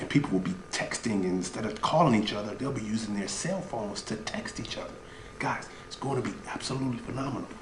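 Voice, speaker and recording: A man whispering at a very fast pace, with audible room echo and noticeable background noise. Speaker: online business coach. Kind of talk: comedic sales pitch. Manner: animated.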